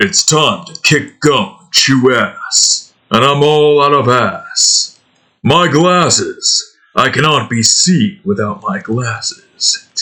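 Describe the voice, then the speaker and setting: A man puts on a character voice at a fairly high pitch. He delivers it at a very slow pace. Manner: cocky.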